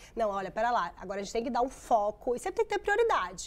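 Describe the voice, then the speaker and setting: A woman speaks at a high pitch. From Brazil. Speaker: geriatrician. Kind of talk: TV interview. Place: studio. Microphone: lapel.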